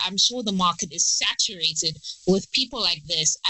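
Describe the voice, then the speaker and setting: An animated woman at a medium pitch and a fairly quick pace, over noticeable background noise. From South Africa, Durban. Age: 20s. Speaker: PhD candidate in virology and science YouTuber. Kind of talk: podcast interview. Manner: animated, many fillers.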